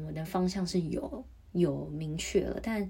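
Her voice somewhat breathy, a woman speaks at a medium pitch in a dark, mellow tone. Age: 30s. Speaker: podcaster. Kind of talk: solo podcast monologue.

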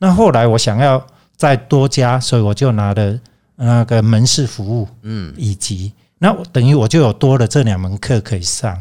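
On a very clean recording with a silent background, a man's voice carries a dark, mellow tone. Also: medium pitch for a man, ordinary pitch variation, moderate pace. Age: 60s. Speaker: teacher and tea merchant. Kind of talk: interview.

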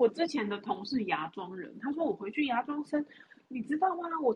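A woman speaks at a fairly quick pace with a high pitch. Her pitch swings very widely. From Taiwan. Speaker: podcast co-host, expectant mother. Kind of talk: casual chat.

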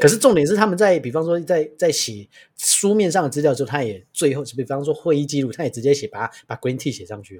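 Talking very fast with hardly any pauses, a somewhat breathy voice swings very widely in pitch and greatly in loudness, in a very clean recording with a silent background. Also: man, fairly high pitch for a man. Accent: Taiwanese. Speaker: podcast host, chef. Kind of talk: casual chat.

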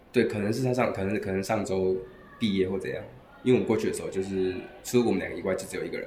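A man with a Taiwanese accent talks at a very fast pace. There is audible room echo. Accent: Taiwanese Mandarin. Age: 20s. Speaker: language school student. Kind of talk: interview.

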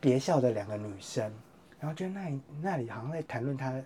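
In a Taiwanese accent, a man with a fairly high pitch speaks somewhat breathily, his pitch swinging very widely. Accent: Taiwanese Mandarin. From Taiwan, Yunlin. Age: 30s. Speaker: writer. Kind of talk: casual interview.

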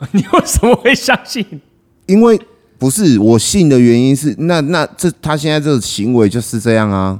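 At a moderate pace, a man speaks with a fairly high pitch. His pitch swings very widely. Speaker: podcast co-host. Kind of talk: casual chat. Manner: animated.

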